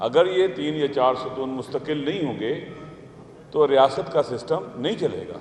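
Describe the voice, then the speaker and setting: Against noticeable background noise, a man talks at a fairly high pitch with ordinary pitch variation. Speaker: religious scholar and political leader. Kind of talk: public seminar speech on state institutions.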